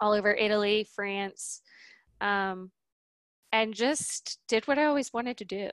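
An American accent at a fairly slow pace with long, frequent pauses and ordinary pitch variation, the sound dry and close with no echo over a quiet background. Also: woman, fairly high pitch for a woman. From US South, New Orleans. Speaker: transformational coach. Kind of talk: casual chat.

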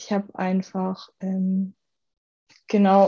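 A somewhat breathy female voice, medium in pitch, with a dark, mellow tone. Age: 20s. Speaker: university student, former coaching client. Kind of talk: podcast interview, personal testimony.

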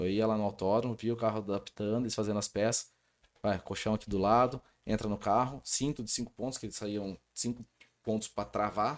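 Fairly low-pitched male speech at a fairly quick pace, on a very clean recording with a silent background. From Brazil, Rio Claro (São Paulo state). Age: 30s. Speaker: sports official, wheelchair athlete. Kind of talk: casual interview. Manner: animated.

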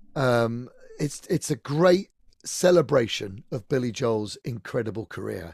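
A man with a plain, everyday voice, lively intonation and a fairly slow pace, in a dry, close sound with no echo. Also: medium pitch for a man. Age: 50s. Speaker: singer and pianist. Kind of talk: casual chat. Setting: video call.

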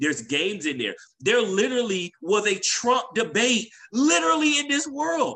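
A man speaks at a moderate pace in a raised, projected voice, high in pitch, with a bright, sharp tone and very wide pitch swings. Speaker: podcast co-host. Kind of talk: casual conversation between friends.

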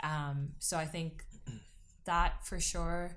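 Audible room echo surrounds a woman with a very deep, low pitch. She speaks very slowly with a monotone, flat intonation. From Trinidad. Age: 20s. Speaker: singer-songwriter. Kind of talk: casual interview.

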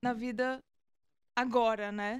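In a very clean recording with a silent background and a dry, close sound with no echo, a woman speaks with fairly even intonation at a fairly high pitch. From Brazil, Minas Gerais. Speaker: musician. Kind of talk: casual chat.

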